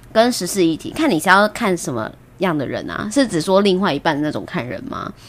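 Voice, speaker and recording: A woman's medium-pitched voice with vocal fry, very wide pitch swings, and a moderate pace. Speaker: podcast host. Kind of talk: casual chat. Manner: frequent laughter.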